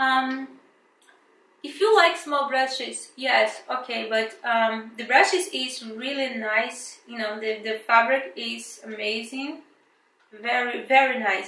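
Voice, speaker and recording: A woman with a strong Brazilian accent speaks very slowly at a high pitch, with ordinary pitch variation. Her loudness swings widely, and the room echo is audible. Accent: thick Brazilian. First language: Portuguese. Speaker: beauty vlogger. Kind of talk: product review unboxing. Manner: casual, hesitant with fillers.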